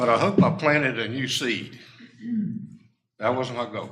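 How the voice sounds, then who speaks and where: A man talks with a bright, sharp tone. Room echo is audible. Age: 80s+. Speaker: resident making public comment. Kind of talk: public comment at council meeting. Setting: town council meeting.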